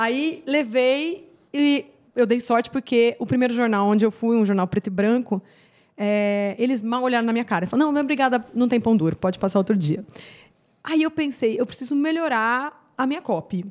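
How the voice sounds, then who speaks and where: Lively intonation in a normal speaking voice, delivered at a moderate pace. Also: woman, fairly high pitch for a woman, very even loudness. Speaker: gardening YouTuber and former journalist. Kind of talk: podcast interview.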